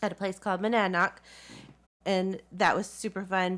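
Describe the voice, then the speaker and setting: With a Southern US accent, a woman speaks at a medium pitch in a very clean recording with a silent background. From US South. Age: 40s. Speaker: community theatre actress. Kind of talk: interview. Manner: halting.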